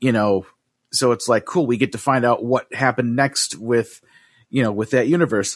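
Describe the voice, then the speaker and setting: This man has a plain, everyday voice at medium pitch, with ordinary pitch variation and very even loudness. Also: moderate pace. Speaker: podcast host. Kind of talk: casual chat. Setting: video call.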